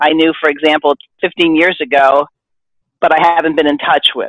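An unremarkable speaking voice from a woman, fairly low, at a moderate pace. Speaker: podcast host. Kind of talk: casual discussion.

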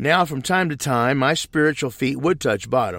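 An unremarkable speaking voice moves at a moderate pace with lively intonation on a very clean recording with a silent background. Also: man. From US Midwest, southeast Missouri. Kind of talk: testimony. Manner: scripted, read-aloud delivery.

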